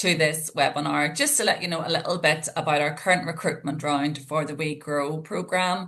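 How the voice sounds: A woman's bright, sharp tone with fairly even intonation at a moderate pace.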